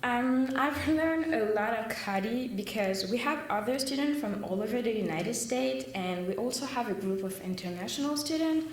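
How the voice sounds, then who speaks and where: Speaking with a French accent, a woman uses a fairly high pitch and lively intonation, keeping her loudness very even with hardly any pauses, amid audible room echo and noticeable background noise. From southern France. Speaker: student. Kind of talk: prepared speech.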